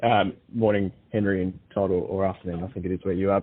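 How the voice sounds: The voice has a slightly husky edge. Its intonation stays fairly even. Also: man.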